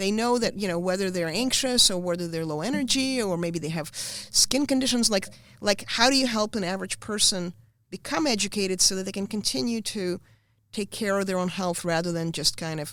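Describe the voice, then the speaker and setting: In a plain, everyday voice, a woman speaks fairly quickly at a medium pitch with ordinary pitch variation. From Soviet Union, moved to US as a teenager. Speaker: wellness clinic founder. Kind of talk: interview. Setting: studio.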